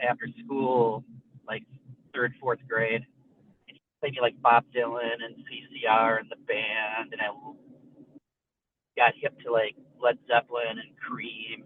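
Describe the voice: Man at a medium pitch and fairly slow pace, little pitch movement, dry, close sound with no echo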